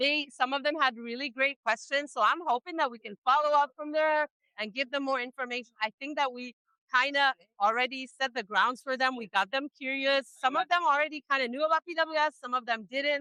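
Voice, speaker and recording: A woman uses a raised, projected voice at a high pitch with ordinary pitch variation. Her tone is bright and sharp. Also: fairly quick pace, dry, close sound with no echo. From Egypt. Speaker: family support staff and parent. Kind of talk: interview.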